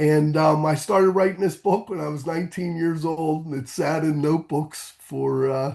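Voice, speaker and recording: A man with a normal speaking voice and fairly high pitch talks at a moderate pace. His intonation is fairly even, with hardly any pauses. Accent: American. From Pittsburgh, Pennsylvania, US. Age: 50s. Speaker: author. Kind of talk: interview. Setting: podcast.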